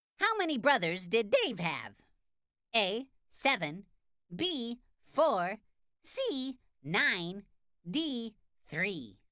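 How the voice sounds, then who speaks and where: In a cartoonish character voice, a female-sounding speaker talks at a very slow pace with a fairly high pitch, leaving long, frequent pauses. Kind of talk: children's cartoon quiz. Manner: bright, clear, upbeat.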